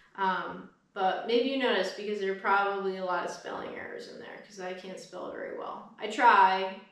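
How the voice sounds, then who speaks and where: Fairly even intonation runs at a moderate pace with hardly any pauses. Loudness swings a lot, with audible room echo. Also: woman, medium pitch for a woman. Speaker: YouTuber. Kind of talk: casual update vlog.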